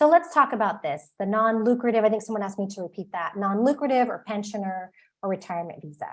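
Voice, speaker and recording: A woman with an American accent talks at a very fast pace in a fairly high pitch, her intonation lively and her loudness swinging widely. The background is quiet. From Texas. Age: 40s. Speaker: author and expat advisor. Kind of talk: webinar presentation. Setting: live online webinar.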